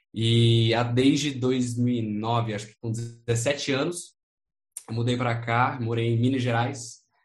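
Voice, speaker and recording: A somewhat breathy man's voice at medium pitch with audible room echo. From United States. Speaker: import-export entrepreneur. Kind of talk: interview, casual chat.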